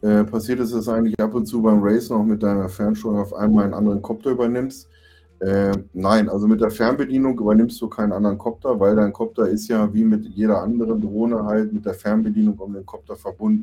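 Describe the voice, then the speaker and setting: Delivered at a very fast pace, the voice has a dark, mellow tone and monotone, flat intonation. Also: man, fairly low pitch for a man. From near Braunschweig, Lower Saxony, Germany. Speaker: FPV drone racing pilot. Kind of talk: casual chat.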